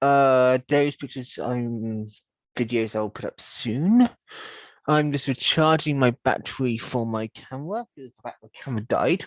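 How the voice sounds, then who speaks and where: A Dorset accent at a fairly slow pace against a quiet background. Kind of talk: casual vlog update to camera. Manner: hesitant, casual.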